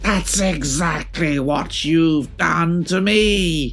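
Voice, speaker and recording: In a put-on character voice at a middle pitch, someone bellows at a very slow pace over clear background noise. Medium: read story. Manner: roaring, furious.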